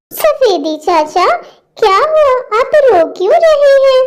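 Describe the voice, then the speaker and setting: A woman speaks in a squeaky, cartoonish character voice pitched extremely high. Her pitch swings very widely, and her pace is fairly slow. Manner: warm, polite.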